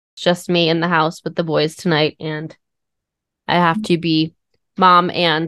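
A bright, sharp tone with monotone, flat intonation over a quiet background. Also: woman. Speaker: podcast co-host. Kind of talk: casual chat. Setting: at home.

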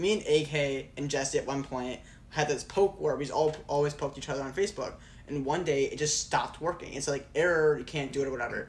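This man has an unremarkable speaking voice, pitched fairly high. He talks at a fairly quick pace with fairly even intonation. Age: 20s. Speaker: student and video business owner. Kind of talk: casual chat.

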